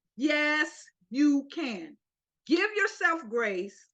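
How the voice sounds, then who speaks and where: At a very slow pace, a woman speaks in a raised, projected voice with a high pitch, very wide pitch swings, and a bright, sharp tone. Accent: American. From Florida, US. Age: 60s. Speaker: interview guest sharing health story. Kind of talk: interview. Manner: energetic, encouraging.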